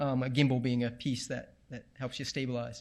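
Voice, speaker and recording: A medium-pitched man with an American accent at a fairly quick pace, on a very clean recording with a silent background. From New England, US. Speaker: tech presenter on VR filmmaking. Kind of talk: talk to live audience. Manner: fast; casual, with many fillers.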